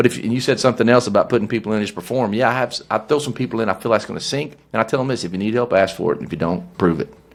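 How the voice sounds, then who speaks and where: A man with a Southern US accent talks at a very fast pace at medium pitch, with hardly any pauses. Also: ordinary pitch variation. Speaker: business owner and leadership guest. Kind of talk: podcast conversation. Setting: studio. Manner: animated.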